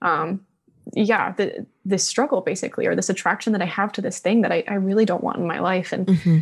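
Over a quiet background, a woman speaks at a fairly quick pace in a somewhat breathy voice with ordinary pitch variation. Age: young. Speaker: support group leader. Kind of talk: personal testimony. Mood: calm, reflective, personal. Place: studio. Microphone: studio mic.

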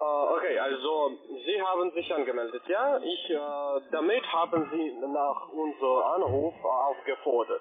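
A man at a very slow pace with very even loudness over light background noise. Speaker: telemarketer. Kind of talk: sales pitch. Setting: phone call. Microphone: phone line.

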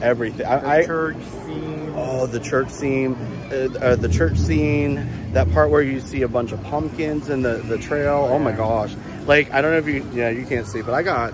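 At a moderate pace, a man speaks with a dry sound and no echo, over noticeable background noise. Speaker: travel vlogger. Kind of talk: casual vlog chat. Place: market. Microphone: phone near.

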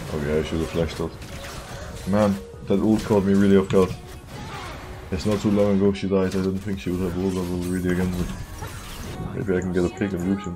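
Over clear music in the background, a man with a very deep, low pitch talks very fast in a flat monotone, broken by long, frequent pauses. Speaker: professional esports jungler. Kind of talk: live gameplay commentary. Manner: casual. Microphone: headset.

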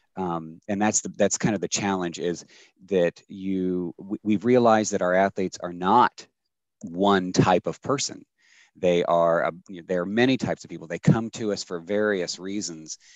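A man with an American accent speaks at a very deep, low pitch with fairly even intonation. His loudness swings widely, and the sound is dry with no echo. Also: moderate pace, quiet background. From US. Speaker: sports nonprofit executive. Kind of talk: webinar panel discussion. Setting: video call. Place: home room. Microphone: headset.

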